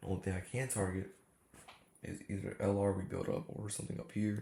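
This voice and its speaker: Somewhat breathy and dark, mellow in tone, a man talks at a fairly low pitch with fairly even intonation. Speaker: day trader. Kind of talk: casual trading recap. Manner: casual slangy.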